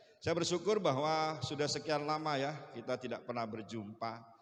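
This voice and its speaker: With audible room echo and noticeable background noise, a man speaks at a fairly quick pace with ordinary pitch variation. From Bali, partly raised in Surabaya. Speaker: pastor. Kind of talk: sermon.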